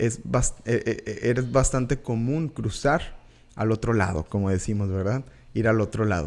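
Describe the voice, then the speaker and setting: On a very clean recording with a silent background, a man with a northern Mexican accent speaks at a medium pitch with ordinary pitch variation. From Mexico, Tamaulipas border (Reynosa). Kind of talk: devotional teaching monologue. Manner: hesitant, many fillers and repetitions.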